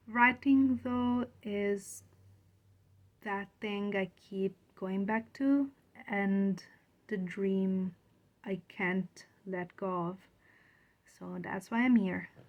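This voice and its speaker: At a very slow pace with long, frequent pauses, a woman with a non-native accent speaks at medium pitch and ordinary pitch variation. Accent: foreign. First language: not English. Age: 30s. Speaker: aspiring writer, video blogger. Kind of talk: casual vlog talk to camera.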